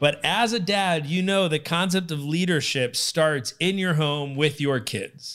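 With an unremarkable speaking voice, a man with a fairly high pitch talks fairly slowly with hardly any pauses and ordinary pitch variation, in a very clean recording with a silent background. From Connecticut. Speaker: podcast host. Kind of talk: interview.

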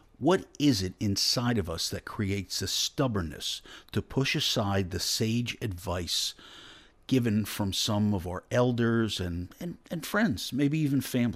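A normal speaking voice at a fairly slow pace with lively intonation, in a very clean recording over a silent background. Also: man, fairly low pitch for a man. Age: 50s. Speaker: radio host. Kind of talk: radio talk show.

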